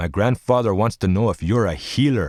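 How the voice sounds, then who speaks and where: Putting on a character voice, a man growls in a fairly low pitch at a fairly quick pace. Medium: read story. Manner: plain, simple conviction.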